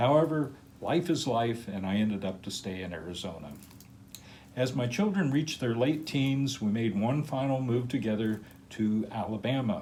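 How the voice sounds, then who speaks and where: Over audible room echo, a man with a dark, mellow tone speaks at a moderate pace with ordinary pitch variation. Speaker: crystal collector, channel owner. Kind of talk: personal life story narration. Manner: casual with filler words.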